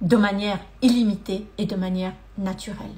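A woman speaks in a fairly high pitch at a fairly slow pace. Her voice is somewhat breathy. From Madagascar. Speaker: energy therapist and coach; money mindset coach. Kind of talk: live-stream testimony and talk. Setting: live video stream. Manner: hesitant, many fillers. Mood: warm, earnest. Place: home room. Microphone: phone near.

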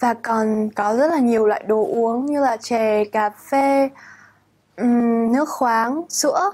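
A woman speaks at a very slow pace in a fairly high pitch. Her loudness is very even, and her pitch variation is ordinary. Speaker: international student. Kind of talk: student testimonial.

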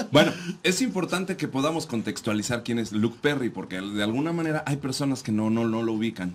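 A man's ordinary speaking voice, medium in pitch, lively in intonation and fairly quick, on a very clean recording with a silent background. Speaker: radio co-host. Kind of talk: casual radio talk show.

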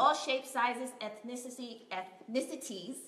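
The voice moves at a moderate pace, with audible room echo. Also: woman. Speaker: production crew member presenting casting news. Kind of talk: casting announcements, casual. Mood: upbeat, friendly. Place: home room. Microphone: webcam.

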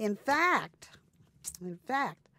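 A woman's voice swings very widely in pitch. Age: 80s. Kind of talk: personal interview conversation. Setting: interview recording session.

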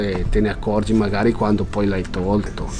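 A man's intonation stays monotone and flat while light background noise sits behind him. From Italy, Valtellina (Sondrio province); Italy. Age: 50s. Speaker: artisan weaver. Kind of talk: workshop demonstration; interview answer. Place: workshop.

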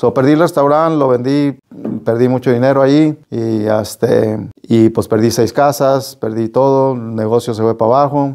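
A man's dark, mellow tone with fairly even intonation at a moderate pace, over a quiet background. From Las Vegas, Nevada (Mexican-born, arrived age 5). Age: 50s. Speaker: real estate broker and business owner; guest. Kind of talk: interview. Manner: hesitant, many fillers. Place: studio. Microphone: lapel.

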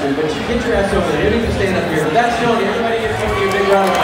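Crowd noise fills the background, and the room echo is audible. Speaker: radio host emceeing a show. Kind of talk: stage banter introduction. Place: stage. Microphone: pa.

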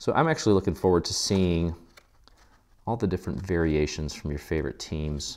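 A man with a very deep, low pitch, ordinary pitch variation and a fairly quick pace. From born abroad, moved to US as a child. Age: 40s. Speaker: craft tutorial host. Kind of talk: tutorial. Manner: casual, filler-heavy. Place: studio.

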